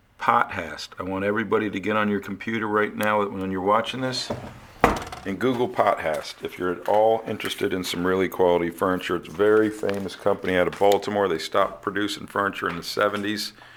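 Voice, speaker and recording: A man talking at a very fast pace with fairly even intonation over noticeable background noise. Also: fairly low pitch for a man. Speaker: estate sale auctioneer. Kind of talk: walkthrough auction preview. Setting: walking through a house filming.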